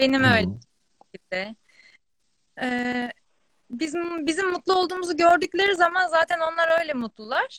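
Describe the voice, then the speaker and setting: A woman's raised, projected voice, bright and sharp in tone, with very wide pitch swings, a fairly slow pace and a dry, close sound with no echo. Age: 20s. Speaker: fashion entrepreneur. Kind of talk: casual chat.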